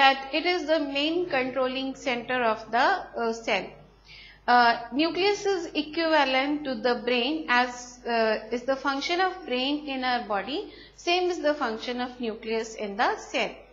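A woman's high-pitched voice at a fairly slow pace. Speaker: school teacher. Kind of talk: lecture. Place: classroom. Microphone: lapel.

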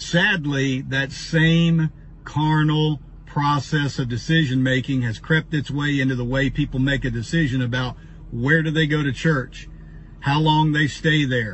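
Light background noise sits behind a man speaking. He keeps a fairly slow pace and fairly even intonation. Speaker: pastor. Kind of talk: sermon-like personal talk. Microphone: phone near.

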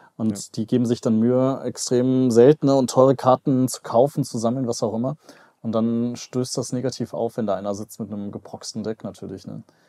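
A man with a dark, mellow tone at a fairly quick pace, his intonation fairly even, over a quiet background. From western Germany, Mönchengladbach; Germany. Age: 30s. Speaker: YouTuber and business analyst; YouTuber, business analyst. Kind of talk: casual chat. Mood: relaxed, conversational. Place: home room. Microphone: headset.

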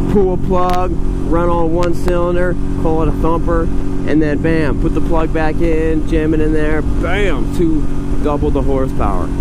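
Loud background noise surrounds a man who speaks with hardly any pauses, the sound dry with no echo. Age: 30s. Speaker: motorcycle dealer and reviewer. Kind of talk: casual vlog, test ride review. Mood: playful, enthusiastic. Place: motorbike. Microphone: helmet.

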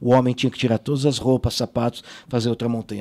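The man speaks with monotone, flat intonation. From Israel and Brazil. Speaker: sports journalist. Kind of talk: interview. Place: studio. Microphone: studio mic.

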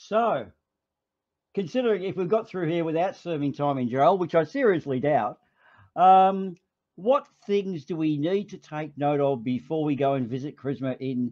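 In an Australian accent, a man with a fairly high voice speaks at a moderate pace with lively intonation. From Australia (Melbourne). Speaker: livestream host. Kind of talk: casual chat.

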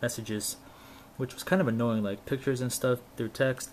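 The speech moves at a fairly quick pace with ordinary pitch variation over light background noise. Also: man. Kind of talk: casual tech demo. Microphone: camera far.

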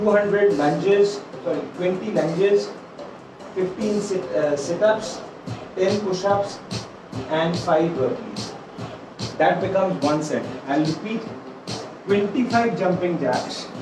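Music plays in the background and room echo is audible as a man with a high voice speaks at a fairly slow pace with ordinary pitch variation. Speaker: fitness instructor. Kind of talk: live workout instruction. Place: home room. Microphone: camera far.

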